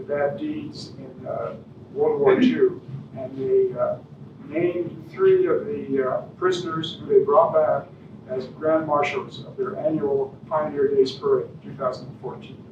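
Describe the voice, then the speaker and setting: A man talks at a fairly slow pace with big swings in loudness. Room echo is audible, and there is noticeable background noise. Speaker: guest speaker on local history. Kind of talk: public lecture with slides. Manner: soft-spoken; hesitant, many fillers. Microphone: no microphone, hard to hear.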